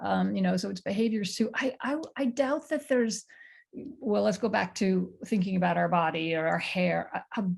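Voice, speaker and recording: Moderate-paced speech from a woman, the background quiet. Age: 60s. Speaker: panelist. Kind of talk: casual chat.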